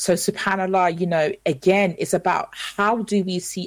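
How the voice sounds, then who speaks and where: A woman has an unremarkable speaking voice at a medium pitch. She speaks at a fairly slow pace. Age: 30s. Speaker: motivational speaker and presenter. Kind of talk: radio interview. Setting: live radio broadcast.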